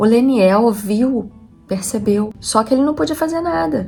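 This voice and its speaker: A woman with lively intonation, music in the background. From Rio de Janeiro, Brazil. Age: 40s. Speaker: homemaker and vlogger. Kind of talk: casual talk to camera.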